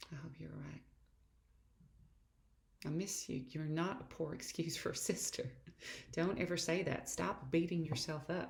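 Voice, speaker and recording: A woman with a very deep, low pitch speaks at a fairly slow pace, with vocal fry. Her intonation stays fairly even, broken by long, frequent pauses. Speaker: actress. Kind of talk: dramatic reading of letters.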